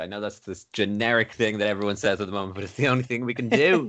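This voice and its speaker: This is a man speaking. He has an Irish accent. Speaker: radio presenter. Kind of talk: casual chat. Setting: phone call.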